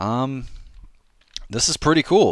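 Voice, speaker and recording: A quiet man talks at a fairly slow pace. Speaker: gaming YouTuber and map maker. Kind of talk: casual livestream commentary. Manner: speaking quietly.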